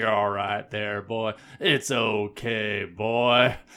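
At a very slow pace, a man uses a put-on character voice of medium pitch. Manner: soothing, calming.

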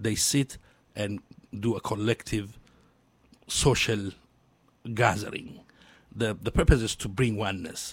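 At a fairly slow pace with long, frequent pauses, a man with an Ethiopian accent speaks at a fairly low pitch. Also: fairly even intonation. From Ethiopia, Addis Ababa. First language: Amharic. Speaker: social entrepreneur and community leader. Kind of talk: radio interview. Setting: radio studio. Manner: halting.

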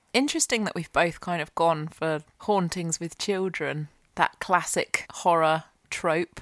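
The recording is very clean, with a silent background. Ordinary pitch variation and a fairly slow pace mark this unremarkable speaking voice. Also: woman, fairly low pitch for a woman. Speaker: podcast host. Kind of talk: casual chat. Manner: playful, joking.

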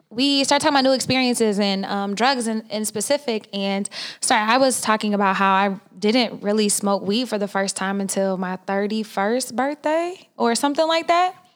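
A woman's plain, everyday voice, fairly high in pitch, with an American accent, lively intonation, a moderate pace and hardly any pauses. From Oklahoma. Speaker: podcast co-host. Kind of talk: casual chat.

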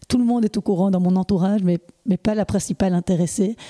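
Speaking at a very fast pace, a woman with a dark, mellow, somewhat breathy tone is captured on a very clean recording with a silent background and a dry, close sound with no echo. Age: 40s. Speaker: podcast host. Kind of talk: interview. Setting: at the guest's home.

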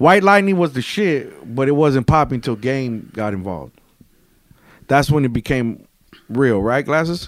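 A man with an ordinary speaking voice talks at a moderate pace, medium in pitch with lively intonation, on a very clean recording with a silent background. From Mexican-American, US. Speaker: rapper. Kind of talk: casual chat.

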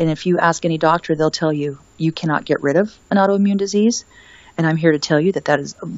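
This woman's pitch is fairly low, with fairly even intonation. It is a normal speaking voice. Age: 50s. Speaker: wellness author and retreat owner. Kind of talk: casual interview chat.

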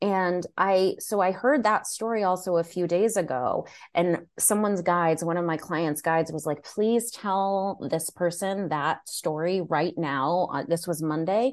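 With an American accent and an unremarkable speaking voice, a woman talks at a fairly slow pace with hardly any pauses, her fairly low pitch showing ordinary variation over a quiet background. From United States. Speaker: spiritual mentor. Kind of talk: casual chat.

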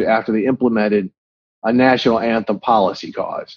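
A man at a moderate pace, a normal speaking voice, his intonation fairly even. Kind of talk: interview.

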